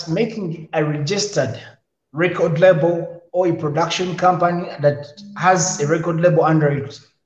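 The pitch varies in an ordinary way, and room echo is audible. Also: man. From Uganda. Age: 20s. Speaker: musician and comedian. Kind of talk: interview.

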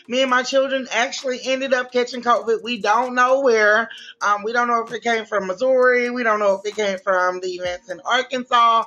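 A woman's high voice in a Louisiana accent, fairly quick with hardly any pauses and fairly even intonation. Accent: US Southern, Louisiana. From Louisiana, Shreveport. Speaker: fashion designer. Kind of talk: interview.

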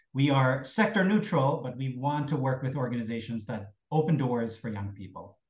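A man with a medium pitch talks at a moderate pace with hardly any pauses, using lively intonation, big swings in loudness and a somewhat breathy voice. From Germany, West Berlin. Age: 40s. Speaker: non-profit CEO. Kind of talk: interview.

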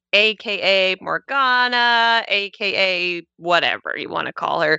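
An unremarkable speaking voice from a woman, medium in pitch, with lively intonation. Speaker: guest on a list show. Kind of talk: casual chat.

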